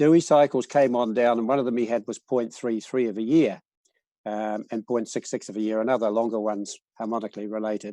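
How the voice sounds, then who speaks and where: Speaking with a New Zealand accent, a man has a dark, mellow tone at medium pitch, with fairly even intonation and a fairly quick pace. The sound is dry and close with no echo, and the background is quiet. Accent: New Zealand, noticeable. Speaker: cycles researcher. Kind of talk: presentation. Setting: video call. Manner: halting, many fillers.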